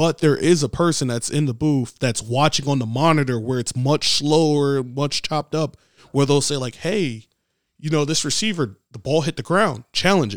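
With a dry, close sound and no echo, a man talks at a moderate pace, fairly high in pitch with ordinary pitch variation. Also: very clean recording, silent background. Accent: American. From New York City, the Bronx. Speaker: PE teacher and football coach. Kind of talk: casual interview.

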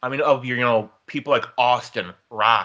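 A man speaks in a bright, sharp tone at medium pitch. His pace is moderate. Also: quiet background. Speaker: wrestling podcast co-host. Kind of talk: casual trivia chat.

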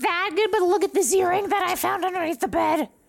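This is a put-on character voice that sounds female, at an extremely high pitch. The delivery comes at a very fast pace. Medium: actual play. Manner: fast, rambling.

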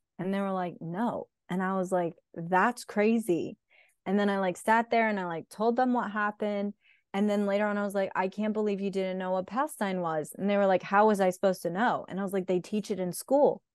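A woman's unremarkable speaking voice at medium pitch, fairly quick and fairly even in intonation, with a dry, close sound and no echo. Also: quiet background. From Raleigh, North Carolina, US. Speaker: activist and educator. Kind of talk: casual chat.

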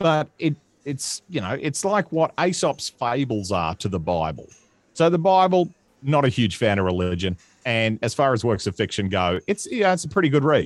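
A man with an Australian accent at a moderate pace, very wide pitch swings, and a dry, close sound with no echo. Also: medium pitch for a man, very clean recording, silent background. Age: 30s. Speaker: comedian. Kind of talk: casual chat. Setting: home studio.

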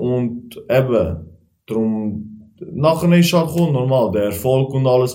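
A man with a dark, mellow tone speaks at a very slow pace and with lively intonation, and the room echo is audible. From Switzerland, Aargau near Baden. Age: 20s. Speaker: kickboxer and driving instructor. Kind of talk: casual chat.

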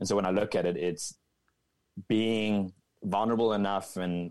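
In a very clean recording with a silent background, a man talks at a fairly quick pace with fairly even intonation. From South Africa, Cape Town. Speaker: soccer coach. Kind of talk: casual interview.

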